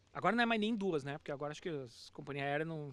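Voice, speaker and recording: Speaking very fast in a southern Brazilian accent, a man with a fairly high voice uses lively intonation. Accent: southern Brazilian (gaúcho). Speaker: teacher, immigrant. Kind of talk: casual chat.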